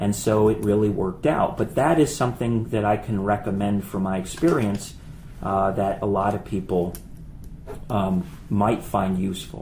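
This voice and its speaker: A man with a plain, everyday voice, fairly low-pitched, at a moderate pace with ordinary pitch variation. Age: 40s. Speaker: finance professor. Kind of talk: casual chat.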